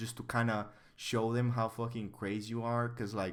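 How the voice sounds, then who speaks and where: In a Bulgarian accent, a man with a bright, sharp tone talks at a moderate pace. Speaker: artist and streamer. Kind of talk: casual livestream chat. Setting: livestream.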